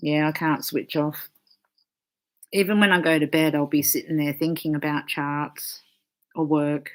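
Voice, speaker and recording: A woman's very deep, low voice at a moderate pace, monotone and flat, with long, frequent pauses and a very clean recording over a silent background. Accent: Australian. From Australia. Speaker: astrologer. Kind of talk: casual chat.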